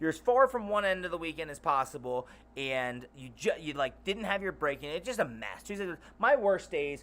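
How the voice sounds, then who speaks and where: This man talks with an American accent. His tone is animated, with very wide pitch swings. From Baltimore area, US Mid-Atlantic. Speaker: streamer. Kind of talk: casual live stream chat. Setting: live stream. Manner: animated, rambling.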